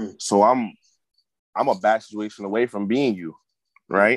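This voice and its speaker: In a dry, close recording with no echo and a quiet background, a man speaks in a fairly low voice with fairly even intonation. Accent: American. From Connecticut (Hartford). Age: 30s. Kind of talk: casual chat.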